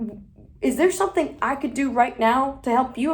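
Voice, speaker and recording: Ordinary pitch variation and vocal fry in a woman's speech. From Guatemala City, Guatemala; US from age ten. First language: Spanish. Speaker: motivational speaker and college donor. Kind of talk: motivational talk to students. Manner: casual, filler-heavy.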